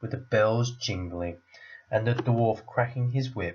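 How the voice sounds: A natural reading voice shows pitch that shifts in an ordinary way.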